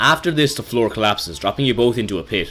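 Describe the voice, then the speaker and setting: Music plays behind a man with an Irish accent who talks very fast. His medium-pitched voice carries lively intonation. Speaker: video game reviewer. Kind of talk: scripted narration.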